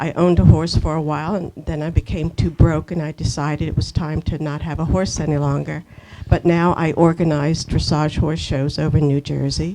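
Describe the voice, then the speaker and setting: A woman's very deep, low voice at a fairly quick pace, with ordinary pitch variation over noticeable background noise. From Pennsylvania, Doylestown. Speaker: local community volunteer. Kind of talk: panel talk.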